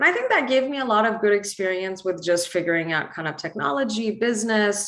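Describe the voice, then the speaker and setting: Someone with an American accent talks very fast with lively intonation, amid noticeable background noise and audible room echo. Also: woman, medium pitch for a woman. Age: 20s. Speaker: entrepreneur and motivational speaker. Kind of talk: conference talk. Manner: casual, many fillers.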